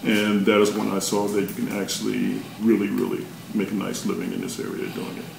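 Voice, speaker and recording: Speaking at a fairly quick pace with an American accent, a man is heard amid noticeable background noise and audible room echo. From North Carolina, Chapel Hill. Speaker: DJ. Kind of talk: interview.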